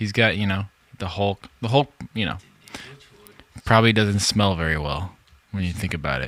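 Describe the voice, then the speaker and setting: Using an American accent, a man talks at a moderate pace with ordinary pitch variation. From Southern California. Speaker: musician in a pop band. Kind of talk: casual podcast chat. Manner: animated.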